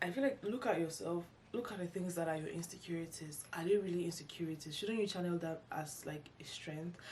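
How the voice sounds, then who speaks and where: At a fairly quick pace with hardly any pauses, a woman talks in a fairly low, somewhat breathy voice. Her pitch varies in an ordinary way, and there is audible room echo. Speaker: YouTuber, lifestyle vlogger. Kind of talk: casual vlog monologue. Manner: halting, many false starts and fillers.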